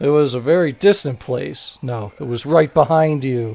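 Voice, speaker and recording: A put-on character voice on a very clean recording with a silent background. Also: man, medium pitch for a man, moderate pace. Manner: eerie, spooky.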